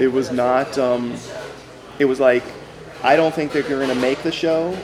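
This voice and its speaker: Someone talks with a Californian accent at a moderate pace over noticeable background noise. The intonation stays fairly even. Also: man. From Los Angeles, San Fernando Valley. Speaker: screenwriter. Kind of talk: casual chat. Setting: diner. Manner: halting.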